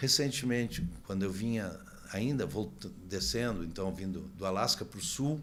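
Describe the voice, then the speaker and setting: Vocal fry runs through a man's fairly low-pitched voice. He speaks at a moderate pace with lively intonation. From Brazil. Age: 60s. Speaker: motorcycle traveler and author. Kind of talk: podcast interview. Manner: halting, many repetitions.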